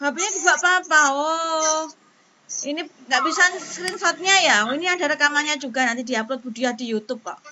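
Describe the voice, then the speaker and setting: With light background noise behind her, a woman talks at a moderate pace in a high voice with ordinary pitch variation. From Indonesia. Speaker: primary school teacher. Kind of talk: online class lesson. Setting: video call. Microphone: video call.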